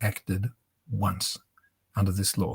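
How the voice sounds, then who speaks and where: A somewhat breathy male voice at a moderate pace. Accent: Australian. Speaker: bereaved father and activist. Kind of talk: interview talk.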